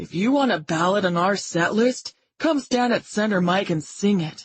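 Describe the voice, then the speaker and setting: A put-on, female-sounding character voice at a middle pitch and moderate pace. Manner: mocking, puffed-up.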